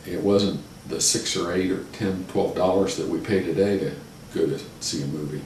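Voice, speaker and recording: Someone with a Midwestern American accent speaks at a moderate pace against noticeable background noise. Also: man. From Westerville, Ohio. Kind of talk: oral history interview answer.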